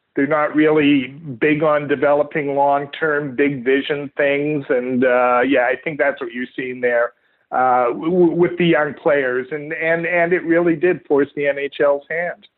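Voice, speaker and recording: Speaking in a Canadian accent, a man with an unremarkable speaking voice talks at a fairly slow pace and fairly high pitch, his intonation fairly even. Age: 60s. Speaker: author, sports writer. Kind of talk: interview.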